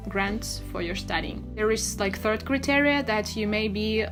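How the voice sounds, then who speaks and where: A woman's voice over clear background music. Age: 20s. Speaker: study-abroad vlogger. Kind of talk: tutorial. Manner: hesitant with many fillers. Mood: friendly, explanatory. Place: home room.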